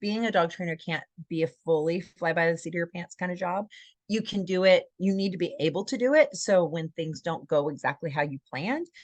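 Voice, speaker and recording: The speech moves at a fairly quick pace with ordinary pitch variation, over a quiet background, with a dry, close sound and no echo. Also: woman, fairly low pitch for a woman. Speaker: dog trainer. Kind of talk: webinar presentation. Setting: live webinar. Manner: fast.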